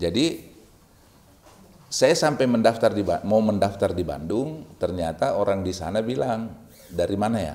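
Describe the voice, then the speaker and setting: A man with a Makassar accent speaks at a fairly slow pace in a fairly low pitch, his tone dark and mellow. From Makassar, South Sulawesi, Indonesia. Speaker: university rector. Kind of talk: casual interview chat. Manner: halting.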